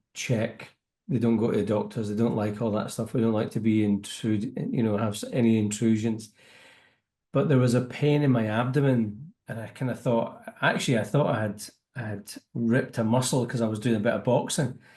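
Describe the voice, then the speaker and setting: A man with a Scottish accent speaks at a moderate pace in a dark, mellow tone, his medium pitch showing ordinary variation against a quiet background. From Scotland. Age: 50s. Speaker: business networking entrepreneur. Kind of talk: interview.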